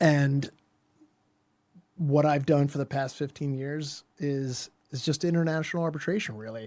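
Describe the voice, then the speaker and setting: A man with a Philadelphia accent speaks at a moderate pace, his intonation fairly even. Long pauses come often, and the very clean recording has a silent background. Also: fairly high pitch for a man. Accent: American, Philadelphia. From US Northeast, Philadelphia suburbs. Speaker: lawyer. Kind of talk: interview. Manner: conversational, with fillers.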